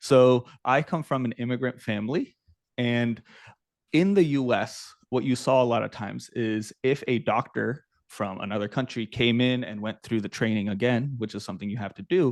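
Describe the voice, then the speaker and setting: A man with an American accent, a medium pitch and a plain, everyday voice talks at a moderate pace with ordinary pitch variation. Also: quiet background. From US South (Norfolk, Virginia). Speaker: startup founder. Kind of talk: interview.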